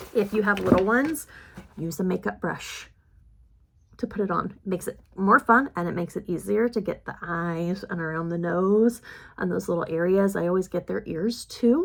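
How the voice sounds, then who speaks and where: A woman with a medium pitch and ordinary pitch variation speaks on a very clean recording with a silent background. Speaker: beauty vlogger. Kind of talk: makeup tutorial chat. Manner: fast.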